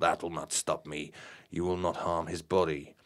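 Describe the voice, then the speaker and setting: On a very clean recording with a silent background, a put-on character voice comes through raspy and growling, with monotone, flat intonation at a moderate pace. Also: man, very deep, low pitch for a man. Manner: menacing, sneering.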